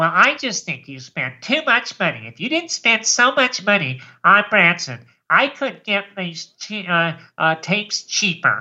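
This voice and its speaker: A female-sounding, put-on character voice moves at a fairly slow pace, sitting at medium pitch with very wide pitch swings. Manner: whiny, complaining.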